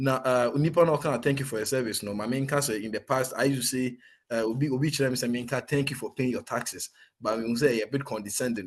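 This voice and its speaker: A man with a Ghanaian accent speaks at a medium pitch with ordinary pitch variation over a quiet background. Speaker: soldier. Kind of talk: interview testimony. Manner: code-switching Twi and English.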